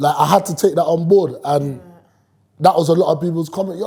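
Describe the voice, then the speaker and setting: The speaker has a London accent and a dark, mellow tone. The delivery comes at a very fast pace. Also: man. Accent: London multicultural English. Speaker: rapper. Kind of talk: casual chat. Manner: loud.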